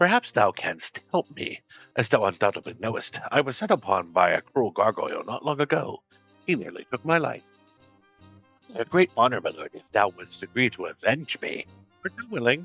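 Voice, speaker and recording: A man's gruff, put-on character voice at a fairly high pitch, moderate pace and big swings in loudness, with faint music in the background. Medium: actual play. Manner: gruff, archaic thee-and-thou speech.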